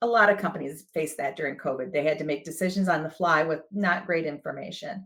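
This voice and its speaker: A woman with a Midwestern accent speaks at a fairly quick pace in a fairly low voice, her pitch moving in an ordinary way. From US Midwest. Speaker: HR director. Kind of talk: podcast interview.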